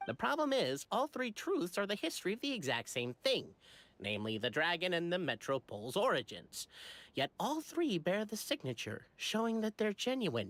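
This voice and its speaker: A put-on character voice sits at a middle pitch with very wide swings, moving at a moderate pace. The recording is very clean, with a silent background. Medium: video game. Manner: measured, academic.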